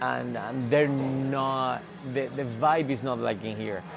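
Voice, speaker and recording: With a Spanish accent, a man speaks at a medium pitch with fairly even intonation. Audible room echo and noticeable background noise surround his voice. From Spain. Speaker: gym member. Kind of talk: interview. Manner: halting, many restarts.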